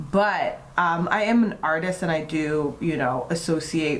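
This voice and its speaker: A woman speaks at a fairly low pitch with an American accent. Noticeable background noise and audible room echo accompany her. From US East Coast (DC/Maryland/Virginia area). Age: 30s. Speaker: beauty vlogger and model. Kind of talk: casual chat during makeup tutorial.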